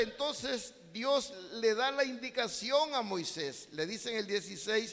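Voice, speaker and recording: Against noticeable background noise, a man speaks in a raised, projected voice at a fairly slow pace. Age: 60s. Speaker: pastor. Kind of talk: sermon.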